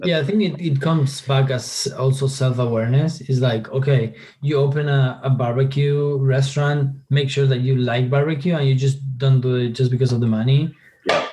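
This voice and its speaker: Over noticeable background noise, a man with a Spanish accent speaks at a medium pitch and a moderate pace. His intonation is fairly even and his loudness very even. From Argentina, countryside. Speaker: marketing agency co-founder. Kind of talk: interview.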